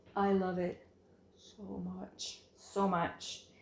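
A woman with a fairly low voice speaks amid audible room echo. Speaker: knitting podcast host. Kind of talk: casual chat. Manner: hesitant, many fillers. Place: home room. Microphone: phone near.

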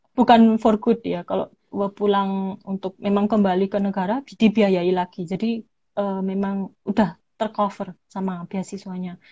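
In a quiet background, a woman with a Javanese accent speaks at a fairly slow pace and medium pitch, somewhat breathy, with monotone, flat intonation. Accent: Javanese (medok). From Indonesia, Malang (East Java); East Java, Indonesia. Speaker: English lecturer and scholarship recipient; guest. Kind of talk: livestream interview. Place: home room. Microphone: video call.

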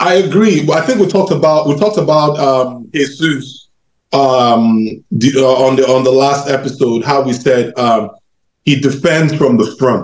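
A man talks at a moderate pace in a fairly high voice with ordinary pitch variation. There is audible room echo. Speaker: football fan panelist. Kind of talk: post-match fan debate. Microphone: video call.

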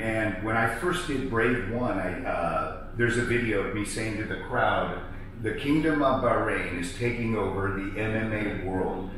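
Over light background noise and with strong room echo, a man of medium pitch speaks with hardly any pauses. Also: ordinary pitch variation. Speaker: combat sports ring announcer. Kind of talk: interview answer. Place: home room. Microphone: camera far.

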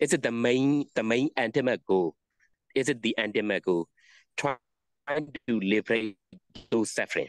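A man with a Burmese accent, long and frequent pauses, fairly even intonation and very even loudness, over a quiet background. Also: medium pitch for a man, moderate pace, dry sound with no echo. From Myanmar; Mandalay, Myanmar. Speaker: Buddhist monk. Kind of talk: interview conversation answering questions. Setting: video call. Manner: halting, repetitive. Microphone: video call.

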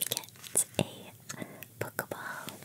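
A whisper, quiet. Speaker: card opening host. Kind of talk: casual unboxing commentary. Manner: hushed whisper naming a card.

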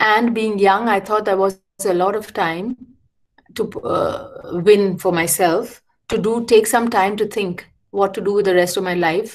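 A woman at a fairly slow pace with fairly even intonation. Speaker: architect and educator. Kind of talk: lecture. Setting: video call. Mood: reflective, calm. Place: home room.

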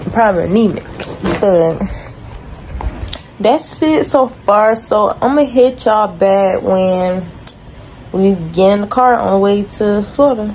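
A woman speaks at a fairly slow pace in a medium pitch with a slightly mellow tone, with faint background noise. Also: ordinary pitch variation.

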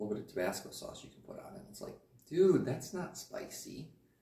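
There is audible room echo around a man speaking at a moderate pace. His tone is dark and mellow. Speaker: vlogger. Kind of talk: casual vlog chat. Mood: joking, animated. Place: home room. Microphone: camera far.

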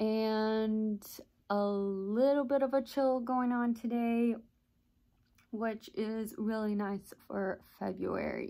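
Against a quiet background, a woman's dark, mellow voice holds a fairly even intonation. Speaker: vlogger. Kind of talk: casual vlog chat. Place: home room. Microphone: phone near.

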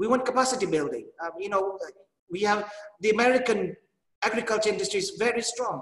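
A man's high-pitched voice at a fairly quick pace, ordinary pitch variation, audible room echo and a quiet background. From Kenya. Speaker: agribusiness executive. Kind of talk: panel discussion. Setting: video call. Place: office. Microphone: video call.

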